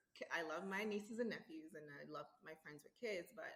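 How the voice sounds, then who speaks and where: A woman is speaking. She keeps a moderate pace. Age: 40s. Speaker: interview guest. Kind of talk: casual interview chat.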